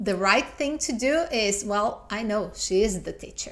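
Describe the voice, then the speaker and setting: With a Portuguese accent and some vocal fry, a woman of fairly high pitch speaks at a fairly slow pace in lively intonation. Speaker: YouTuber, storytelling coach. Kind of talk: video commentary.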